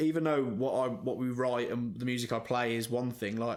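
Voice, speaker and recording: A man speaks with an English accent. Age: 30s. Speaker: rock band frontman and singer. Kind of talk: casual chat.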